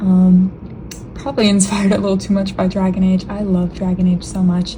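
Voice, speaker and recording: A woman's monotone, flat intonation over noticeable background noise. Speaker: digital artist. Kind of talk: voice-over narration of a speed paint. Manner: casual, filler-heavy.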